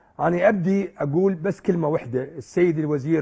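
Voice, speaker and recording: In a Baghdadi accent, a man speaks at a fairly quick pace and a fairly high pitch. The background is quiet. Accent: Iraqi Arabic (Baghdadi). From Iraq. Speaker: football club president; guest. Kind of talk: interview. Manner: emotional, impassioned. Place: studio.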